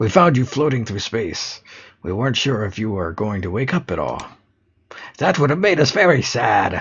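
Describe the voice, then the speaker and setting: A man puts on a character voice at medium pitch. He goes at a moderate pace. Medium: game stream. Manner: cheerful, naive.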